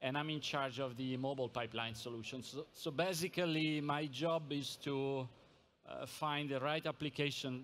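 A man talks at a moderate pace with fairly even intonation. Light background noise is audible. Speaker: company sales director. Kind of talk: conference presentation. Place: hall. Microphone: podium.

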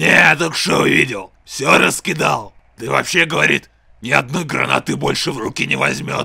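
A cartoonish character voice from a man, raspy and medium-pitched, with very wide pitch swings at a moderate pace. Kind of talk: comic cartoon dub. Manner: boastful, crude, chatty.

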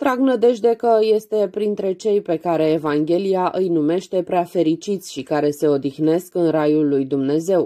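A woman with a dark, mellow tone, fairly low in pitch, lively intonation and a fairly slow pace, on a very clean recording with a silent background. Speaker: audiobook narrator. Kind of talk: reading aloud.

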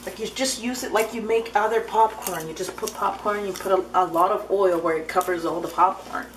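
The speech moves at a fairly quick pace with hardly any pauses and ordinary pitch variation, over light background noise. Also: woman. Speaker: vlogger. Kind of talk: casual vlog chat. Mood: mildly exasperated. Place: kitchen. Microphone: phone near.

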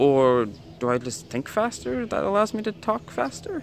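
With a Canadian accent, a man speaks with very wide pitch swings, the sound dry with no echo and light background noise behind him. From Canada. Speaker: travel vlogger. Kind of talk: travel vlog talk to camera. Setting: outdoors. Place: street. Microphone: phone near.

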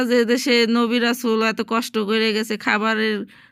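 A woman's fairly high, bright, sharp voice with monotone, flat intonation. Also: very clean recording, silent background. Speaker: domestic worker vlogger. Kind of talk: casual vlog narration.

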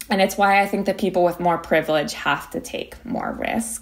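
An unremarkable speaking voice from a woman with an American accent, medium pitch and a moderate pace. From Philadelphia, US. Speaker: climate activist and law student. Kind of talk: interview.

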